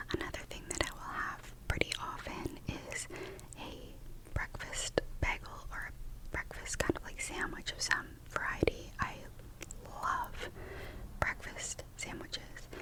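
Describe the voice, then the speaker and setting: Whispering at a fairly slow pace, a woman leaves long, frequent pauses, her loudness swinging widely over noticeable background noise. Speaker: ASMR creator and new mother. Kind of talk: casual whispered ramble about food. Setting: close-mic ASMR recording. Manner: whispered, soft.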